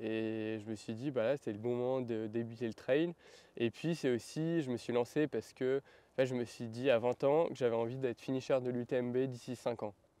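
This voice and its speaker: A man's medium-pitched voice with a dark, mellow tone, fairly even intonation and a moderate pace, in a dry, close sound with no echo. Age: 20s. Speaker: professional trail runner. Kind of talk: interview.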